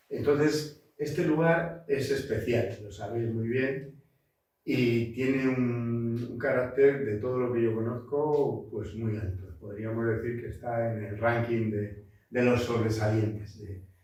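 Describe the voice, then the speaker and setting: Very slow speech from a man at medium pitch, with ordinary pitch variation and audible room echo. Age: 60s. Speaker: botanist and environmental consultant. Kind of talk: lecture. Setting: seminar talk with audience. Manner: halting, many fillers.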